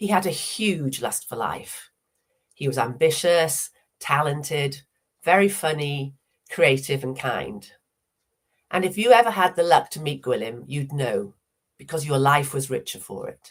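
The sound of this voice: A woman with a low pitch, lively intonation and a fairly slow pace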